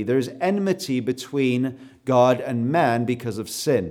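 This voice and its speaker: A man with a Canadian accent speaks at a fairly slow pace with ordinary pitch variation. Music plays in the background. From South Africa. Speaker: preacher. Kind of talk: sermon. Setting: church.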